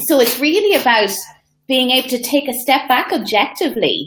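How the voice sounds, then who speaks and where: The speaker moves at a moderate pace with an Irish accent. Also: woman. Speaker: social media coach. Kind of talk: casual interview on live video.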